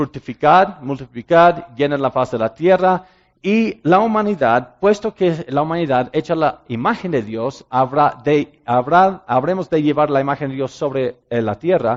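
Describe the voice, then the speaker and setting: In a Mexican accent, a man speaks at a fairly slow pace with hardly any pauses, using a fairly high pitch and lively intonation. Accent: Spanish with Mexican-sounding. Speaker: ministry director and speaker. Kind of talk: sermon-style talk. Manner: halting with frequent fillers.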